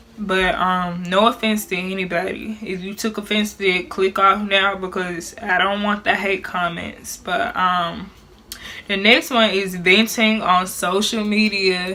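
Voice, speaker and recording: With a Memphis accent, a woman speaks at a medium pitch. Her pace is fairly slow and her intonation fairly even. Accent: Southern US, Memphis. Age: 20s. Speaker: YouTube vlogger. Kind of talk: casual talk to camera.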